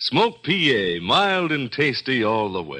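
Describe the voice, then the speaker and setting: A man speaks in an upbeat, bright, sharp tone with vocal fry and very wide pitch swings. The background is quiet. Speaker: radio announcer. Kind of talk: 1950s radio commercial, sponsor pitch. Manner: smooth, hearty, salesman-like, upbeat.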